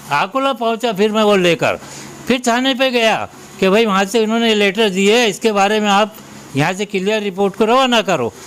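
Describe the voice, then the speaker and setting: Against noticeable background noise, a man speaks at a high pitch with ordinary pitch variation. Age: 70s. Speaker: elderly citizen with a complaint. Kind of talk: news interview testimony.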